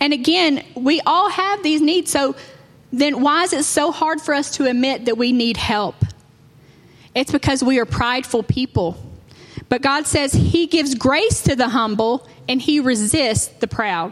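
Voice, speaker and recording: Amid noticeable background noise, a woman with a high pitch speaks at a fairly slow pace and very even loudness. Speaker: preacher. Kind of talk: sermon.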